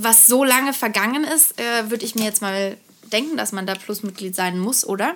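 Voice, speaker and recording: Her plain, everyday voice moves at a moderate pace, as a woman speaks at a fairly high pitch with ordinary variation. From Karlsruhe, southwest Germany. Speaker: podcast co-host. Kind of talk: casual chat.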